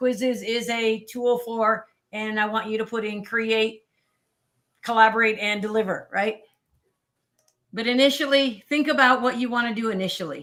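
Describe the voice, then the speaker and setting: A woman speaks at a moderate pace and a fairly high pitch with fairly even intonation. She pauses long and often. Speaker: teacher and edtech presenter. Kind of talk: webinar tutorial.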